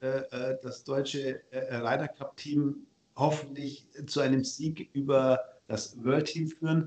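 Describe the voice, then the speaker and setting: A man speaks at a very slow pace in a fairly high pitch, with monotone, flat intonation. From Bavaria, Ingolstadt. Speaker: tax advisor. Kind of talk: casual interview.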